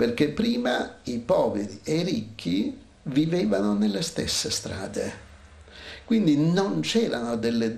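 A man at a slow pace with vocal fry, a slightly mellow tone and lively intonation, in audible room echo

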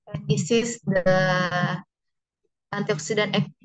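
Against a quiet background, a woman talks at a very slow pace with ordinary pitch variation. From Indonesia. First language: Indonesian. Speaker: researcher presenting at conference; conference presenter. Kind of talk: conference presentation. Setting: video call. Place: home room. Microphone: video call.

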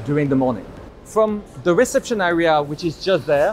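Music plays behind a man with a high voice. His pitch varies an ordinary amount. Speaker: presenter. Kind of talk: tour commentary. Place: factory.

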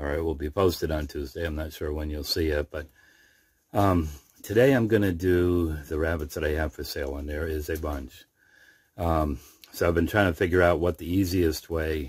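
A very deep, low, somewhat breathy man's voice at a moderate pace, with fairly even intonation and a dry sound with no echo. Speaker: rabbit breeder. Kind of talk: casual vlog chat. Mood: relaxed, friendly. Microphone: phone near.

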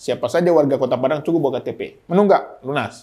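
A man is speaking. The background is quiet. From Medan, North Sumatra, Minangkabau family. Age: 40s. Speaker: mayoral candidate. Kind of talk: casual interview talk. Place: studio. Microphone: lapel.

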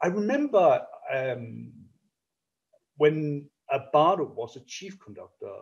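Someone with a Danish accent talks against a quiet background. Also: man. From Denmark. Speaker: orchestra conductor; interviewee. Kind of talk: interview. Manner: halting, many repetitions and fillers. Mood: warm, reminiscing. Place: home room. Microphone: video call.

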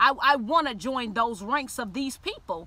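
The voice is raised and projected with an animated tone and ordinary pitch variation, and the sound is dry with no echo. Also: woman. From Miami, Liberty City; Florida. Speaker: YouTuber telling personal faith story. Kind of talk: personal testimony monologue. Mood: earnest, sometimes playful. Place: car. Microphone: phone near.

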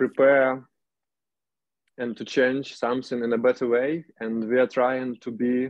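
A man with a Ukrainian accent speaks in a monotone, flat intonation. His pace is fairly slow, and the sound is dry and close with no echo. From Ukraine, Chernihiv. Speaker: urban activist. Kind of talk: video call discussion. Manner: halting.

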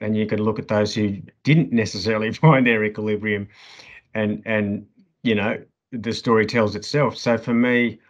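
A man with an Australian accent speaks at a moderate pace and a fairly low pitch in a monotone, flat intonation over a quiet background. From Sydney, Australia. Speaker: podcast guest. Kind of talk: interview. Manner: halting. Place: home room. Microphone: video call.

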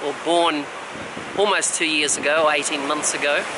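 Monotone, flat male speech with audible room echo and noticeable background noise. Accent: Australian. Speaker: travel vlogger. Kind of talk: casual chat. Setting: outdoors at the beach.

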